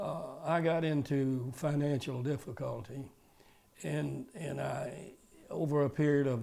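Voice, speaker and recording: With a Georgia accent, this man talks at a medium pitch and uses ordinary pitch variation. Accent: Georgia Southern. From US South. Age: 80s+. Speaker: retired car dealer. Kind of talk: interview testimony. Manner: halting.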